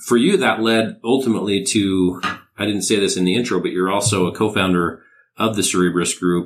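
Over a very clean recording with a silent background, a man speaks in a plain, everyday voice at a fairly quick pace. His pitch is fairly low, his intonation fairly even, and his loudness very even. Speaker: podcast host. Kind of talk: interview.

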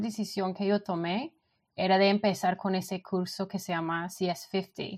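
With a Colombian accent, a woman of medium pitch speaks at a very slow pace and with fairly even intonation. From England, London. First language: English (speaking Spanish). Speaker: frontend developer. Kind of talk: interview. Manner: halting.

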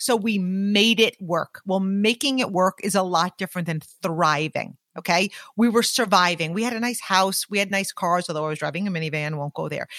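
With an ordinary speaking voice, a woman at a medium pitch talks at a fairly quick pace with ordinary pitch variation, the sound dry and close with no echo against a quiet background. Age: 40s. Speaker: business leader and podcaster. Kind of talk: casual interview chat. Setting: in person with host.

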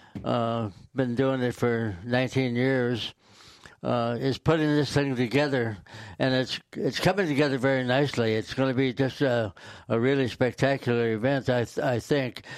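Here a man speaks with an American accent at a medium pitch. His pace is fairly slow and his intonation fairly even. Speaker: county fair representative. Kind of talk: casual chat.

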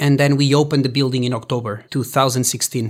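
A man's fairly high-pitched voice on a very clean recording with a silent background. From Portugal. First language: Portuguese. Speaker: filmmaker. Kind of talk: interview. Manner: halting.

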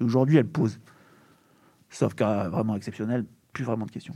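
A man with a dark, mellow tone speaks at a very fast pace. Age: 40s. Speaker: urban planning agency deputy director. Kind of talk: panel discussion. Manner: halting.

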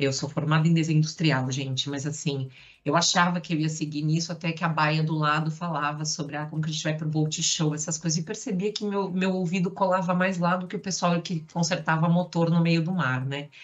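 Her voice very deep and low, a woman speaks fairly quickly and somewhat breathily. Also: fairly even intonation. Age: 40s. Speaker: marketing director. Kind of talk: casual chat.

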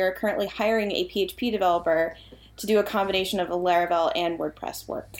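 A woman with an American accent talks at a fairly quick pace in an unremarkable speaking voice with a medium pitch and fairly even intonation. The recording is very clean, and the background is silent. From Massachusetts, US. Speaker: product manager. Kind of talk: casual interview chat.

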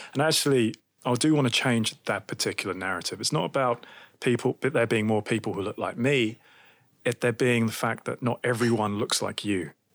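Speaking with a British accent, this voice moves at a fairly quick pace with ordinary pitch variation. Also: man, medium pitch for a man. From UK. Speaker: tech startup co-founder. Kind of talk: interview.

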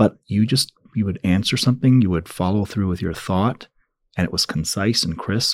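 A man with a plain, everyday voice speaks at a fairly low pitch, with ordinary pitch variation. His pace is moderate, and the sound is dry and close with no echo. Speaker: podcast host and leadership institute founder. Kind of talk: interview.

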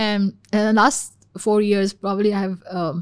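A woman with a Pakistani accent at a medium pitch, monotone, flat intonation, and a very clean recording with a silent background. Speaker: policy expert in national security. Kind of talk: casual interview discussion. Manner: fast talker.

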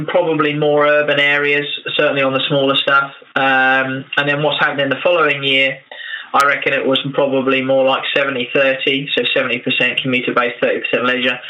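A man with a fairly high pitch speaks in a monotone, flat intonation at very even loudness. Audible room echo and noticeable background noise surround him. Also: moderate pace. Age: 30s. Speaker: electric motorcycle business owner. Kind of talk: interview. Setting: internet call. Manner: halting, many fillers.

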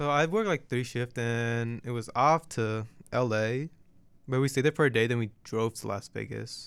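A man with an American accent and an unremarkable speaking voice talks at a moderate pace and medium pitch. The recording is very clean, with a silent background. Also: ordinary pitch variation. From Portland, Oregon. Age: 19. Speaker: college student podcast co-host. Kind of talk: casual chat.

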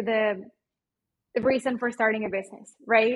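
A woman with a Mexican accent speaks at a moderate pace, her fairly high pitch carrying a slightly husky edge.

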